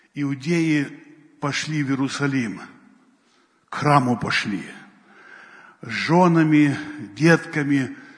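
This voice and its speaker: A man with a fairly high voice talks very slowly, with long, frequent pauses and ordinary pitch movement, in a room with audible echo. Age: old. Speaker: pastor. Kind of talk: sermon.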